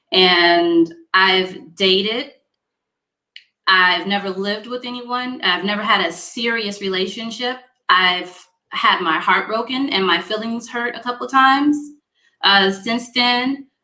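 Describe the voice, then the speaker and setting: At a fairly slow pace, a woman speaks in an ordinary speaking voice at a medium pitch, with ordinary pitch variation. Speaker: internet talk show host. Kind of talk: casual panel discussion. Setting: live stream video call.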